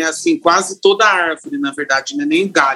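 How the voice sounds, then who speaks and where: Music plays in the background as the speaker goes at a moderate pace with lively intonation. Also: man. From interior of São Paulo state, São Carlos. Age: 40s. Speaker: hairdresser and salon owner. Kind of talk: casual interview chat.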